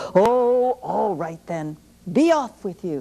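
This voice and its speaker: Someone performs a put-on character voice at a very slow pace. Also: female-sounding voice, medium pitch for a woman. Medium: read story.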